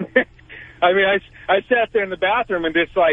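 A man speaks at a high pitch and a moderate pace, with ordinary pitch variation. The sound is dry and close, with no echo.

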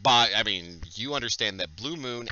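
This is plain reading aloud. The pitch moves in an ordinary way.

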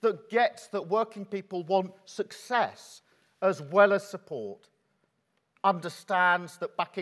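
Against a quiet background, a man is speaking. His pace is fairly slow. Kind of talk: keynote speech. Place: hall.

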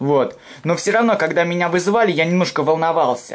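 Speaking at a fairly quick pace, a man uses a high pitch and lively intonation. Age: 20s. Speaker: video blogger doing food reviews; food reviewer vlogger. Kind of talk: casual vlog monologue. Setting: home kitchen. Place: home room. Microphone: phone near.

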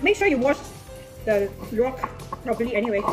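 A woman talks at a very fast pace. Clear music plays in the background. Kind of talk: casual cooking tutorial. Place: kitchen. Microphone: phone near.

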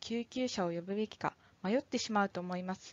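At a moderate pace, a woman speaks in a plain, everyday voice with medium pitch and ordinary pitch variation. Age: 20s. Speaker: firefighter. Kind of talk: scripted narration.

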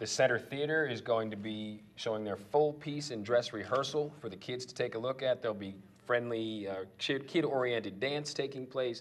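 Moderate pace with few pauses and ordinary pitch variation. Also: man, medium pitch for a man.

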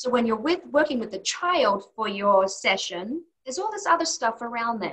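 Against a quiet background, a woman with a fairly high pitch speaks at a moderate pace with very wide pitch swings. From Australia. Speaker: occupational therapist; interview guest. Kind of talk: interview. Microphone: webcam.

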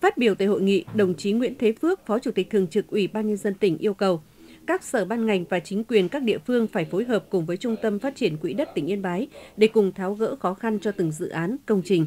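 Speaking very fast with lively intonation, a woman at medium pitch has a dark, mellow tone, recorded dry and close with no echo. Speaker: news reporter. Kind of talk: news reading.

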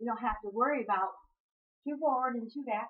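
The voice has a slightly husky edge, moves at a fairly slow pace, and shows ordinary pitch variation. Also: woman.

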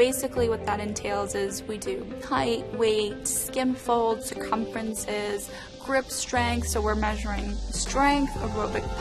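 Clear music in the background behind a woman's fairly slow pace. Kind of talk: interview answer. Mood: warm, enthusiastic. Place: office. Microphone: lapel.

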